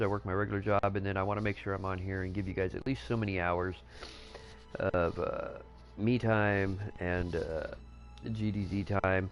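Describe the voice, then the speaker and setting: With music in the background, a man talks at a fairly quick pace in a fairly low pitch. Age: 40s. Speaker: gaming streamer. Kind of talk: casual live stream chat. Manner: hesitant, many filler words.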